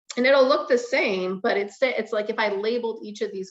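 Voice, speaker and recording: At a fairly quick pace, a woman speaks in a normal speaking voice with ordinary pitch variation. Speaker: chemistry professor. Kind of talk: lecture. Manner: casual, filler-heavy.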